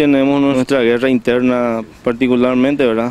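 A man at a moderate pace in a monotone, flat intonation, dry sound with no echo. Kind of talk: interview answer. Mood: somber, grieving. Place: street. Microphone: handheld.

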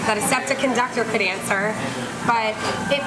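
A woman's fairly quick speech competes with loud noise in the background. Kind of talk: interview answer. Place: cafe.

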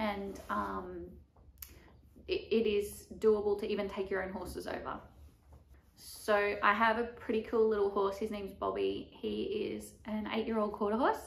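With an Australian accent, a woman speaks at a moderate pace amid audible room echo. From Australia, Melbourne. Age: 20s. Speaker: vlogger and barrel racer; vlogger. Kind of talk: vlog monologue. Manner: casual, filler-heavy. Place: home room. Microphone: camera far.

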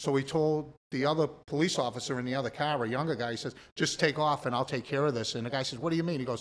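Speaking very fast with a Boston accent, a man has a fairly high pitch and ordinary pitch variation. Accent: Boston-area New England. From Massachusetts. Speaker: recovering addict; podcast guest. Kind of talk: testimony. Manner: animated. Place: studio. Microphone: studio mic.

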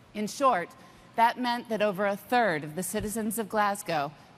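Moderately paced speech from a woman, light background noise behind it. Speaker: corporate executive; keynote presenter. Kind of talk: keynote presentation. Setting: stage with audience. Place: stage. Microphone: lapel.

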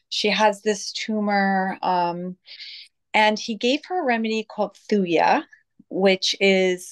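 The background stays quiet as a woman talks. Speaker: interview guest. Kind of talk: interview answer. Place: home room. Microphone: video call.

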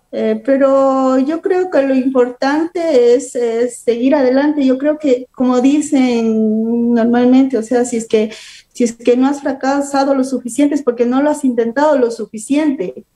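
Over a quiet background, a woman talks in a high voice with fairly even intonation. She goes at a fairly slow pace with hardly any pauses. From Ecuador, Catamayo (Loja province); Ecuador. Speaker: beautician and entrepreneur; guest. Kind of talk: interview. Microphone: video call.

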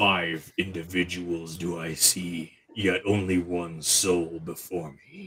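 A man puts on a character voice with a very deep, low pitch. He talks fairly slowly in a flat monotone. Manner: ominous, ancient.

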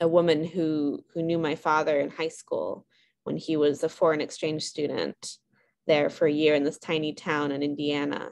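A woman speaks with a very deep, low pitch. Her intonation is monotone and flat, at a moderate pace. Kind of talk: casual chat. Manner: hesitant, many fillers. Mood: warm, relaxed. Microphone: video call.

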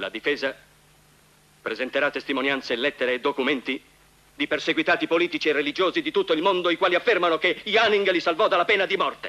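Talking at a very fast pace yet with long, frequent pauses, a man uses a high pitch and ordinary pitch variation. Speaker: defense lawyer in film courtroom scene. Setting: tribunal courtroom scene from a film. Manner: formal, forceful, indignant, rhetorical; emphatic, repeating words for effect.

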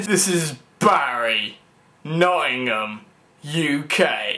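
A man's put-on character voice, fairly high in pitch, delivered at a very slow pace with lively intonation. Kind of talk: casual self-introduction. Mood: grinning, playful.

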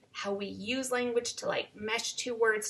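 A woman is speaking. Light background noise is audible. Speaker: teacher. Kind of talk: lecture. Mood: warm, encouraging. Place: home room. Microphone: webcam.

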